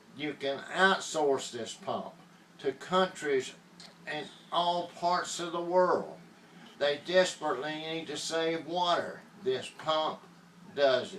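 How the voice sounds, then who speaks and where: With a Southern US accent, a man speaks at a very slow pace and fairly high pitch, his intonation fairly even but his loudness swinging widely. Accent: Southern US (Georgia). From US South, Georgia. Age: 70s. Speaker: inventor promoting a product. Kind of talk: political appeal and sales pitch. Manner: impassioned.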